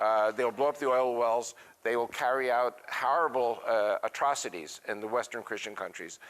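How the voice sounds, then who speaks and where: This is an ordinary speaking voice with an American accent. It keeps a moderate pace and ordinary pitch variation. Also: man. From United States. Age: 60s. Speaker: author and speaker on Middle East affairs. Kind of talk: interview.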